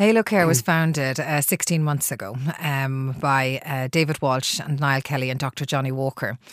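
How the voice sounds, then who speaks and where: A woman talks with a very deep, low pitch and ordinary pitch variation. She leaves hardly any pauses. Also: moderate pace. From Ireland, Dublin. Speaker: healthcare company CEO, former nurse. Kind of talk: radio interview. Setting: radio studio.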